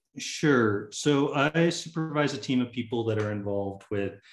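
With an American accent, a man speaks at a fairly slow pace over noticeable background noise. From US South, Tallahassee, Florida. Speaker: fire management program director. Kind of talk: interview. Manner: casual, many fillers.

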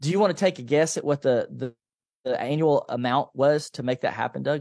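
In a very clean recording with a silent background, a man speaks at a fairly quick pace with an American accent. He has a normal speaking voice, fairly high in pitch, with ordinary pitch variation. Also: dry, close sound with no echo. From US South, Nashville, Tennessee. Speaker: financial coach and author. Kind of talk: interview.

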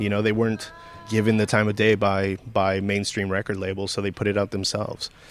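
Amid noticeable background noise, a man talks at a fairly quick pace and fairly low pitch with monotone, flat intonation. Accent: American. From San Gabriel Valley, California. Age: 30s. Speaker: record store owner. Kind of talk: casual interview.

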